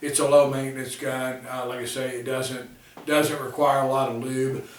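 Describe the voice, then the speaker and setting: Amid noticeable background noise and audible room echo, a man speaks at medium pitch and a moderate pace in a monotone, flat intonation. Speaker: gun reviewer. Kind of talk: product review. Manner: casual, filler-heavy.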